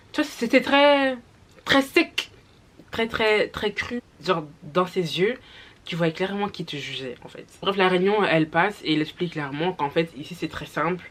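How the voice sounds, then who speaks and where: A woman at medium pitch, fairly slow, with very wide pitch swings and big swings in loudness. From Flanders, Belgium. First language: Dutch (speaking French). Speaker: YouTuber. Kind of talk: storytime. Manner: hesitant, many fillers.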